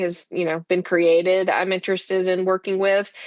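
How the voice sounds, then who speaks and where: A woman with an American accent speaks at a moderate pace in a medium pitch, using an unremarkable speaking voice. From Texas, Henderson near Tyler. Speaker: congressional candidate, physician assistant. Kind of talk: political interview.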